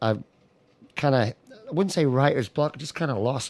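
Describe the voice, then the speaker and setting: A man with an American accent talks at a very fast pace. His pitch varies in an ordinary way. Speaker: singer-songwriter. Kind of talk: radio interview.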